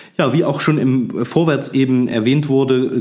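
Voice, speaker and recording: A man speaks at a moderate pace, noticeable background noise audible behind him. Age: 40s. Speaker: museum director and historian. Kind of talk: casual chat.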